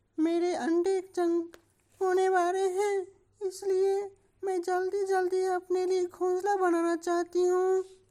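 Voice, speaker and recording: Putting on a cartoonish character voice, a woman speaks at an extremely high pitch in a monotone, flat intonation at a very slow pace. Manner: wheedling, gossipy.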